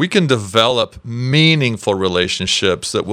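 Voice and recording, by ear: Lively intonation with reading aloud in a natural voice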